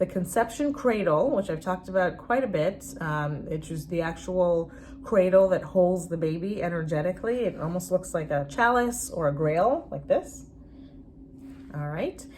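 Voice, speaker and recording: The woman's voice sits at a fairly low pitch, and her intonation is lively. Noticeable background noise runs underneath. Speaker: spiritual fertility coach. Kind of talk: online course introduction. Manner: fast; halting, many fillers.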